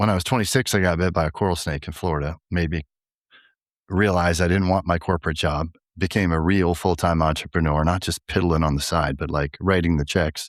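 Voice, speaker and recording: A man with a very deep, low voice talks at a fairly quick pace and with fairly even intonation, in a very clean recording with a silent background and a dry, close sound with no echo. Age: 60s. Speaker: company CEO. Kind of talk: casual chat.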